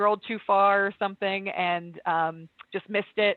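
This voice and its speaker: Her voice sits at medium pitch, and this woman uses ordinary pitch variation. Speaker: software trainer. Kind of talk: tutorial. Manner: fast.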